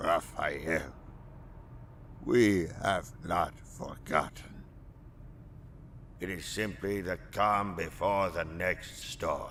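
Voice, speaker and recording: Very slow, put-on character voice with long, frequent pauses over clear background noise. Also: man, fairly low pitch for a man. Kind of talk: dramatic storytelling narration. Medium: fan dub. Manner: measured, solemn, dignified.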